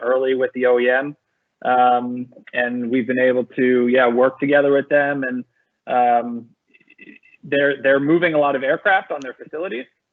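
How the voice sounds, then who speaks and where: A man talks in a plain, everyday voice at medium pitch, moving at a moderate pace with fairly even intonation. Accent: American. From United States. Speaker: tech startup co-founder. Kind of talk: webinar panel discussion.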